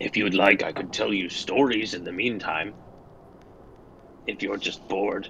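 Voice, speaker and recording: In a raspy, put-on character voice, the speaker goes at a moderate pace with long, frequent pauses while clear background noise runs underneath. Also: man, fairly low pitch for a man. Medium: actual play. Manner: polite, measured.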